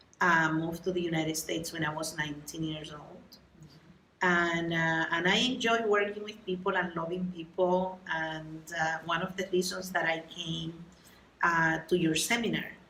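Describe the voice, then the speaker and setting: A woman with a Puerto Rican accent, fairly low pitch, a bright, sharp tone, fairly even intonation and a moderate pace, with audible room echo. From Puerto Rico. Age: 70s. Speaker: workshop attendee and doctoral student. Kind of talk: interview.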